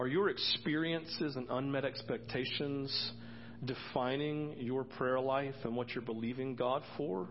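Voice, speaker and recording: With a normal speaking voice, a man at medium pitch talks at a fairly slow pace. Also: ordinary pitch variation. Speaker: pastor. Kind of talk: sermon. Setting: church.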